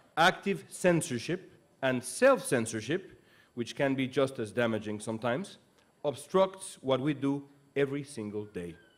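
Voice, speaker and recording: A man's lively intonation at a moderate pace. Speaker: speaker, news anchor. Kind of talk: commencement speech. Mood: earnest, serious. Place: stage. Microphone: podium.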